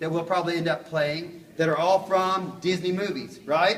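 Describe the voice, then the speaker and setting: A man speaks at a moderate pace in a high voice, with noticeable background noise and an audible echo from the room. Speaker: music teacher. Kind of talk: classroom lesson.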